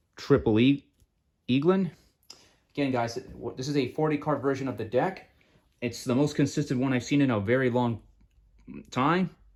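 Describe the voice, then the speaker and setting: A man speaks at a moderate pace with a medium pitch and ordinary pitch variation. His speech has long, frequent pauses. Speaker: card game youtuber. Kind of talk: deck profile tutorial. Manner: halting, many fillers; mumbling.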